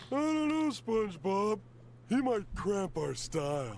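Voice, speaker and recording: Doing a cartoonish character voice, a man speaks high-pitched and fairly slowly, his pitch swinging very widely over clear background noise. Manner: dopey.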